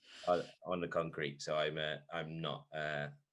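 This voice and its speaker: A man speaks with a Welsh accent in a very deep, low voice. His delivery is flat and monotone at a fairly quick pace. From Wales. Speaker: sports podcast host, primary school teacher. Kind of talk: casual chat. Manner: hesitant, many fillers.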